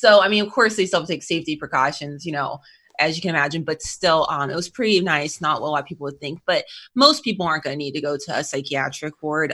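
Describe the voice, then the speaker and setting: A woman's normal speaking voice, fairly low-pitched, with lively intonation and a fairly quick pace. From North Carolina. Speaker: behavioral health clinician. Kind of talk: interview. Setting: remote call.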